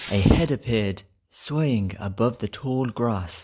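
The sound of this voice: Slowly, a man speaks at a fairly low pitch with lively intonation and a slightly mellow tone.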